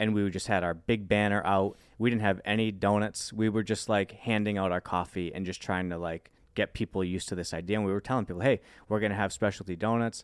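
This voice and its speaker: In an American accent, a man talks at a very fast pace with a fairly low pitch and monotone, flat intonation. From Worcester, Massachusetts. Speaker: business founder. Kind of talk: interview.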